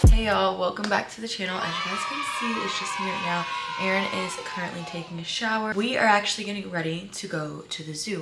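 Music can be heard behind the voice. The delivery is very fast. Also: woman. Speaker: vlogger. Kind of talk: casual vlog chat. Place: home room. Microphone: camera far.

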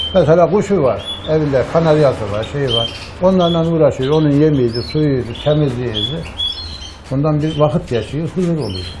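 A man with a fairly high pitch, ordinary pitch variation and a moderate pace, over noticeable background noise. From Sivas, central Anatolia, Turkey; Turkey. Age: 60s. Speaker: retired blacksmith and canary breeder. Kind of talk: casual interview. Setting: bird house. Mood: calm, nostalgic. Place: shop. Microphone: lapel.

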